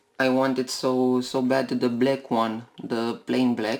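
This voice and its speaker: The voice moves at a very slow pace against noticeable background noise. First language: not English. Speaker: toy car collector YouTuber. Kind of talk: unboxing video. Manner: halting, many fillers.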